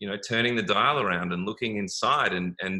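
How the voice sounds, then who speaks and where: Talking at a very fast pace, the man uses an Australian accent, a fairly low pitch and fairly even intonation. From Australia, Melbourne. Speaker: wellness business owner. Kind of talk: interview. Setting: live video stream. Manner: halting, many fillers and repeats.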